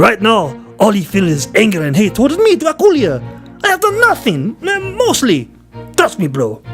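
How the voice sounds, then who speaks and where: Over clear music in the background, someone uses a put-on character voice at a fairly high pitch. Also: moderate pace. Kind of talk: comic overacting. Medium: solo performance. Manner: pleading, bro-speak, hammy.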